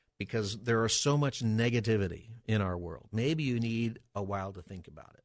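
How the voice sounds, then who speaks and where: The intonation of this man is lively, at a medium pitch. Behind him the background is quiet. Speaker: pastor and radio host. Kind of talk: call-in radio talk show. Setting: radio studio. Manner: fast.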